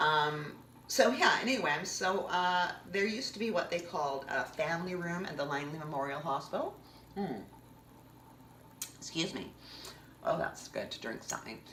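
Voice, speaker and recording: Speaking in a Canadian accent, a woman uses a fairly low pitch and an animated tone with lively intonation. Her moderate pace is broken by long, frequent pauses, and audible room echo fills the recording. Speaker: vlogger. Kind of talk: personal storytelling monologue.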